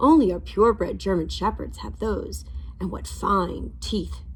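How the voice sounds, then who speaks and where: A booming, put-on character voice from a woman at a moderate pace. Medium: read story. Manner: harsh, commanding.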